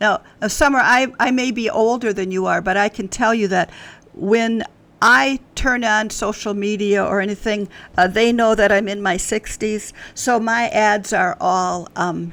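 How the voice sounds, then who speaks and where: This woman has an unremarkable speaking voice, fairly high in pitch, with an American accent. Her pitch varies in an ordinary way. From US Midwest, Wisconsin. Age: 60s. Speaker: author. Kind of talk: podcast interview. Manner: conversational, with frequent fillers.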